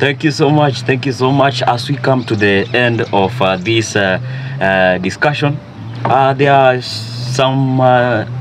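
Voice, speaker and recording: Music plays in the background, and there is audible room echo. A man talks at a fairly slow pace, his loudness very even. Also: medium pitch for a man, ordinary pitch variation. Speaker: interviewer. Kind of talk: interview.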